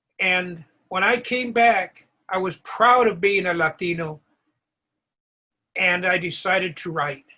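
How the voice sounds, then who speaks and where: A man with a high pitch and a bright, sharp tone projects his raised voice at a fairly slow pace, with ordinary pitch variation and long, frequent pauses. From California, Mexican-American. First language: Spanish. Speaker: author and award presenter. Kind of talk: award ceremony speech.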